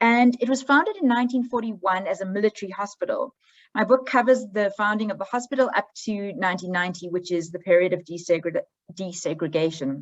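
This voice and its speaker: Speaking at a fairly quick pace with a South African accent, a woman uses lively intonation at a medium pitch. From South Africa, Johannesburg. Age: 40s. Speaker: history professor. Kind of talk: academic presentation.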